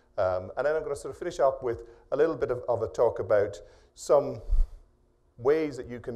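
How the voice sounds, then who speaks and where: Here a man speaks at a fairly quick pace with an Irish accent. Room echo is audible. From Ireland. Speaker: professor. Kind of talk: keynote lecture. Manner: fast; hesitant, many fillers.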